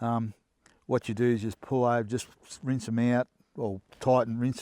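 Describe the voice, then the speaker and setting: With an Australian accent, a man speaks at a fairly slow pace and medium pitch in a very clean recording against a silent background. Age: 70s. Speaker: hunter reviewing gear. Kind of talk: casual gear review. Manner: halting, many fillers.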